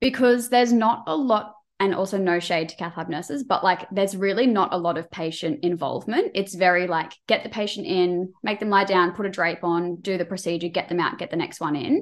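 At a fairly quick pace with hardly any pauses, a woman talks at a medium pitch with ordinary pitch variation. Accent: Australian. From Queensland, Australia. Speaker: cardiac nurse. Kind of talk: casual chat.

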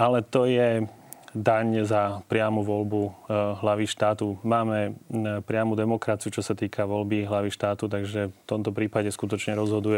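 Flat, monotone intonation marks this man's fairly low voice, which moves at a moderate pace with big swings in loudness. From central Slovakia. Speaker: political scientist. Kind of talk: TV talk show interview.

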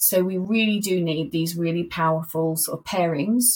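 Somewhat breathy, a woman talks in a fairly low pitch with ordinary pitch variation. Her pace is moderate. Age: 40s. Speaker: corporate inclusion executive. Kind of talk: interview.

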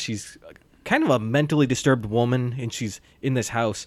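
Here is a man with an ordinary speaking voice at a medium pitch. He talks at a moderate pace with ordinary pitch variation. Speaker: podcast host. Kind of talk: casual chat about movies.

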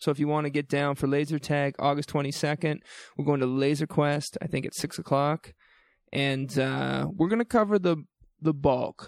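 Speaking with a slight New Brunswick accent, a man uses a fairly high pitch with ordinary pitch variation. His moderate pace comes through in a dry, close sound with no echo. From New Brunswick, Canada. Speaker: university orientation week podcast host. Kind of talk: casual chat. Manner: animated.

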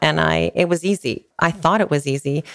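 A woman speaks with a Western Canadian accent. The sound is dry and close, with no echo. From Canada, British Columbia interior (Castlegar). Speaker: realtor and business owner. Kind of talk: casual interview conversation. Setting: outdoor poolside studio.

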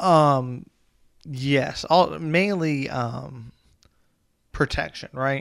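Speaking at a very slow pace with long, frequent pauses, a man with an American accent uses a fairly high pitch and ordinary pitch variation. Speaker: poker podcast co-host. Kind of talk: casual chat.

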